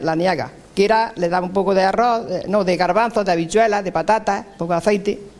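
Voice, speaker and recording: A high-pitched man with fairly even intonation at a very fast pace, with noticeable background noise. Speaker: elderly villager. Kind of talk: interview recollection.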